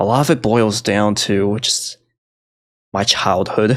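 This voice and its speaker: A man's medium-pitched voice at a very slow pace, in a very clean recording with a silent background. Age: 30s. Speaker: gaming content creator. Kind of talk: personal vlog monologue. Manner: monotone; casual, self-deprecating.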